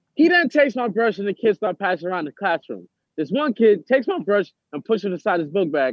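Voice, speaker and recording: Here a man talks at a very fast pace with a high pitch and lively intonation. He has a New York accent. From New York City (Harlem, Brooklyn, Bronx). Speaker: formerly incarcerated actor. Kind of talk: interview.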